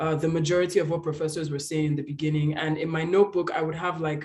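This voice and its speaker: A man speaks at a high pitch. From Nigeria. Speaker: exchange student. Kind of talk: panel discussion.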